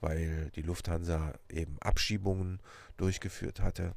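At a very slow pace, a man speaks in a very deep, low, somewhat breathy voice. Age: 50s. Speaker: police officer and podcast host. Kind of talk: personal introduction monologue.

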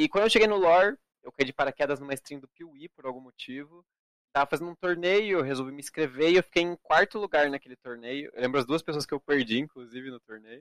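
A man talks very fast in a fairly high voice, with ordinary pitch variation and big swings in loudness. The sound is dry and close, with no echo. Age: 20s. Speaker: esports card game player. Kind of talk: casual interview.

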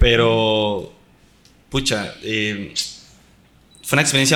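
There is audible room echo around a man's bright, sharp tone, which shows ordinary pitch variation. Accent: Costa Rican. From Costa Rica. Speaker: professional footballer. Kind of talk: casual chat. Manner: animated.

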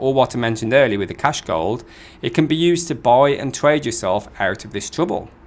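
With lively intonation, a man talks at a moderate pace in an unremarkable speaking voice of medium pitch. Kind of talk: sales pitch. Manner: persuasive, repeating the catchphrase 'ultimate insurance' like a hard-sell slogan; upbeat and fluent, steady salesman patter with urgent reassurance.

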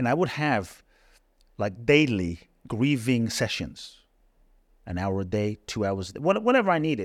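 On a very clean recording with a silent background, a man speaks at a moderate pace and medium pitch. His pitch swings very widely, and he takes long, frequent pauses. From London. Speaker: inspirational speaker. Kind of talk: interview.

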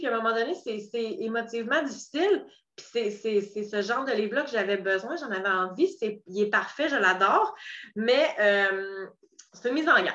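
Her voice has a bright, sharp tone, and this woman talks at a fairly high pitch with lively intonation. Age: 30s. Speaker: podcast host and coach. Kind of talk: solo podcast monologue.

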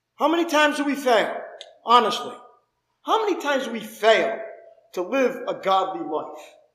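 The pitch swings very widely, and the speech has long, frequent pauses. Audible room echo surrounds the voice. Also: man, extremely high pitch for a man, moderate pace. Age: 50s. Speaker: pastor. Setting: church service with congregation. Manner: fervent, conversational preaching with rhetorical questions; repetitive rhythmic cadence, building emphasis.

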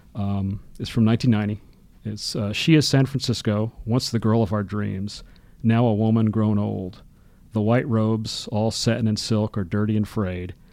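On a very clean recording with a silent background, a man with a fairly low pitch and an American accent talks at a moderate pace in a dark, mellow tone with fairly even intonation. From US South, Birmingham, Alabama. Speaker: history professor. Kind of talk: casual interview. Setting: studio.

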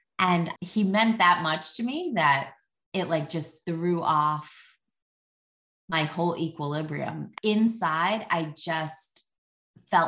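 Speaking at a very slow pace in a New Jersey accent, the voice has a bright, sharp tone and ordinary pitch variation over a quiet background. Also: woman. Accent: New Jersey American. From US, New Jersey. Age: 40s. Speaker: artist and parenting advice creator. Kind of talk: podcast interview. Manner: animated, filler-heavy.

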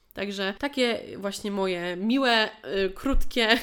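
Speaking at a fairly slow pace, a woman uses a normal speaking voice at medium pitch with ordinary pitch variation. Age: 20s. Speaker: podcast host, dance coach. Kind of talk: solo monologue, year review.

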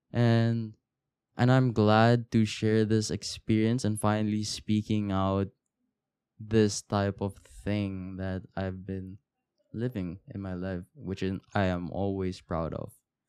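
At a very slow pace, a man reads in a fairly low, dark, mellow voice with fairly even intonation, the sound dry and close with no echo on a very clean recording with a silent background. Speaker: podcast host. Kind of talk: solo podcast monologue, casual. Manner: casual, rambling, halting.

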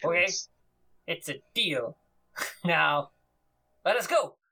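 A raspy, put-on character voice at a middle pitch, delivered at a very slow pace. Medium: actual play. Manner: brusque, commanding, blunt.

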